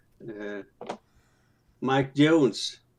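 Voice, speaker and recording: A man's medium-pitched voice with ordinary pitch variation. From Sweden. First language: not English. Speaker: live stream participant. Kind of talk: casual chat. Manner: halting.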